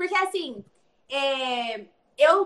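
The woman's bright, sharp tone rises and falls with ordinary pitch variation. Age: 20s. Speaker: pastor's daughter and nutrition student. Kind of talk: interview. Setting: remote recording. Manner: talkative.

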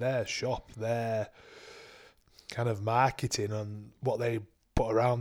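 A man with a Yorkshire accent speaks at a medium pitch. His delivery is monotone and flat at a moderate pace. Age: 30s. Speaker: podcast co-host and semi-pro rugby league player. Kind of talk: casual chat.

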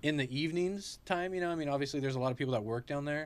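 A man with a Californian accent speaks at a fairly high pitch on a very clean recording with a silent background. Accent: Californian American. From Central California (Clovis, Fresno area). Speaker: local shop owner. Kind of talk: casual chat.

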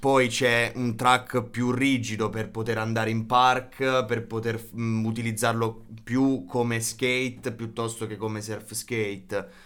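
A man speaks at a very slow pace with hardly any pauses. His pitch is medium, and his intonation is monotone and flat. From Basilicata, southern Italy (Matera province). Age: 20s. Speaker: surfskate enthusiast, medical device sales worker. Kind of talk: casual chat.

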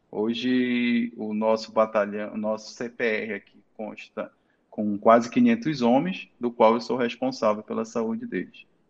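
A man talks at a very slow pace and medium pitch. His intonation is monotone and flat. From Santarém, Pará, northern Brazil. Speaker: urologist and military doctor. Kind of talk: interview.

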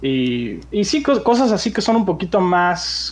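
A man speaks very slowly in a high pitch, his voice making very wide pitch swings. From Mexico City. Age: 20s. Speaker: aspiring gaming youtuber. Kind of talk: casual interview. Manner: halting, many fillers.

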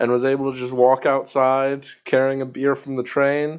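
This man's fairly high voice unfolds at a fairly slow pace. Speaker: podcast host. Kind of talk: casual chat.

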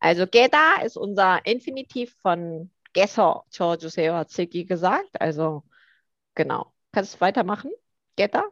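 A woman's medium-pitched voice with a Korean accent, fairly slow and with lively intonation, in a dry, close sound with no echo and a quiet background. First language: Korean (speaking German). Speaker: language teacher. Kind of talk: casual chat.

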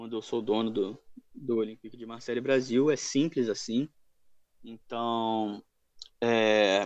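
With fairly even intonation, a man speaks at a medium pitch and a fairly slow pace. The background stays quiet. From Rio de Janeiro, Brazil. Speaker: football fan page admin. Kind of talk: casual chat.

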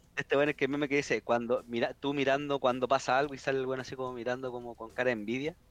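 Talking at a very fast pace with hardly any pauses, a man keeps a monotone, flat intonation. The sound is dry and close, with no echo. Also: medium pitch for a man. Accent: Chilean. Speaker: podcast guest. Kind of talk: casual chat.

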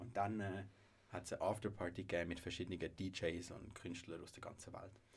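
Very deep and low, a man's somewhat breathy voice runs at a fairly quick pace in a monotone, flat intonation. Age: 20s. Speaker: music association president and business student. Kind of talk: casual chat.

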